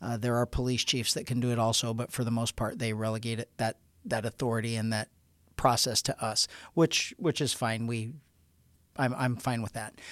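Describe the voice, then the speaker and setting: Monotone and flat, a man's medium-pitched voice moves at a moderate pace. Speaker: sheriff hosting department podcast. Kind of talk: interview-style podcast conversation.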